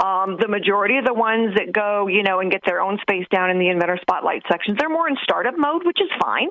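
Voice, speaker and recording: Using a normal speaking voice, a woman talks fairly quickly at a medium pitch. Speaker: inventor advisor and radio co-host. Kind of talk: radio talk show conversation.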